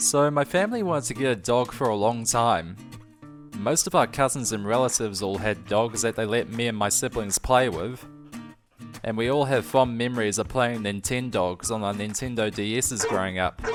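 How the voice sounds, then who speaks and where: Music plays in the background as the speaker keeps a moderate pace. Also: man, medium pitch for a man, ordinary pitch variation. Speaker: animator. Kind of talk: animated storytime narration. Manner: casual, heartfelt.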